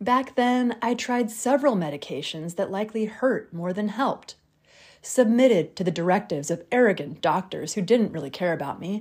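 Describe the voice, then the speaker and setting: An unremarkable speaking voice from a woman, medium in pitch, lively in intonation, at a moderate pace, on a very clean recording with a silent background. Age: 40s. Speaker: podcast host. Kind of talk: solo monologue podcast.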